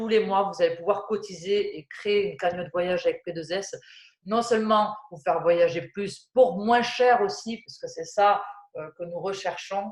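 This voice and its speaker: A woman with a southwestern French accent speaks fairly slowly at a medium pitch, with ordinary pitch variation and big swings in loudness. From southwest France. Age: 30s. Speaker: flight attendant turned network-marketing presenter. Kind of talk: sales presentation. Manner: hesitant, many fillers.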